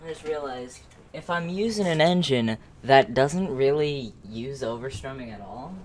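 Over faint background noise, a man speaks at medium pitch and a moderate pace with ordinary pitch variation.

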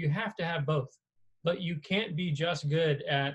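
A man with an American accent talks at a moderate pace, somewhat breathy. His pitch sits fairly high. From US South, South Carolina. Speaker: surgeon and professor. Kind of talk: lecture. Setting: video call. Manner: casual, animated.

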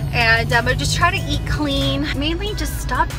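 A woman's voice in a dry sound with no echo, clear music in the background. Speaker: vlogger. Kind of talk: casual vlog chat. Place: car. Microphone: phone near.

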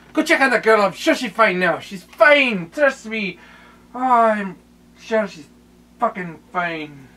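Using a put-on character voice, a man speaks high for a man in a raised, projected voice, with lively intonation, big swings in loudness, long, frequent pauses and a fairly slow pace. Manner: gruff, cursing.

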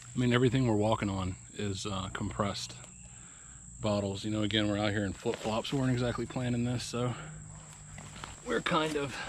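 The sound is dry, with no echo, and background noise is noticeable. The pace is moderate. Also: man. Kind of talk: casual vlog chat. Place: forest. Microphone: phone near.

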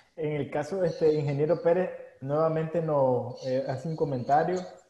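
An ordinary speaking voice belongs to this man, fairly high in pitch. He talks at a moderate pace with fairly even intonation. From Nicaragua. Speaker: webinar host. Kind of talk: live webinar interview. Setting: Facebook Live stream.

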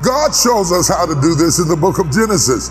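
Music plays clearly in the background. Over it, a man speaks at a moderate pace. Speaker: preacher. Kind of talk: sermon. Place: church.

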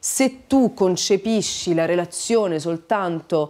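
A woman speaks very slowly in a dark, mellow tone with lively intonation. The background is quiet. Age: 40s. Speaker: writer and radio presenter; radio presenter. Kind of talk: casual interview chat. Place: home room.

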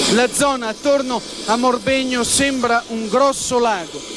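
A man's voice sits at an extremely high pitch and keeps fairly even intonation, with noticeable background noise in the recording. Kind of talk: TV news field report, scripted. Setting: outdoors on location.

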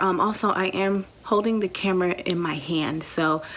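The woman's intonation runs fairly even throughout. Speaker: teacher, new vlogger. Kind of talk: casual vlog chat. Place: home room. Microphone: phone near.

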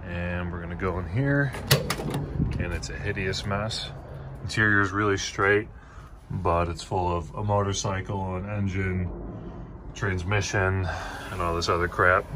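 A man's very deep, low voice at a fairly slow pace, with fairly even intonation, long, frequent pauses and noticeable background noise. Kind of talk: casual vlog chat. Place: garage. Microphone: phone near.

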